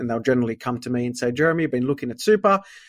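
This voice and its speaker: In an Australian accent, a man speaks in a dry, close sound with no echo on a very clean recording with a silent background. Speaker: accountant. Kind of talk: interview about finance.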